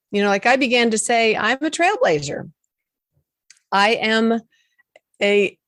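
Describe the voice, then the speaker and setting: With lively intonation and very even loudness, the speech has long, frequent pauses and a dry, close sound with no echo. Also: woman, fairly high pitch for a woman, fairly slow pace. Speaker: confidence coach. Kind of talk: interview.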